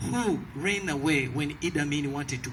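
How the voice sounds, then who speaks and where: In a Ugandan accent, a man speaks at a moderate pace and fairly high pitch with ordinary pitch variation, with audible room echo. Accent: Ugandan accent, noticeable. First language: a Ugandan language, not English. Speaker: evangelist, ministry leader. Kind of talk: testimony. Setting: rally stage with audience.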